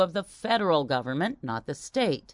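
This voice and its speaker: A woman speaks in a plain, everyday voice at a moderate pace, her pitch fairly low. The background is quiet. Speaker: news reader. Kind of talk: news reading.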